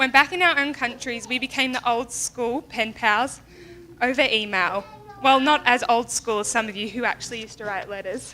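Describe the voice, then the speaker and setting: An Australian accent comes through as a woman speaks at a moderate pace in a high voice. Her pitch varies in an ordinary way, while her loudness swings widely. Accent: Australian, noticeable. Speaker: bride's friend giving a wedding speech. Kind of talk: wedding toast speech. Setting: wedding reception with audience.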